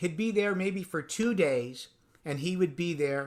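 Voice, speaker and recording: A normal speaking voice with ordinary pitch variation moves at a moderate pace in a very clean recording with a silent background. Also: man. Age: 60s. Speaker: drum industry veteran and percussionist. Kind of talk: casual interview chat.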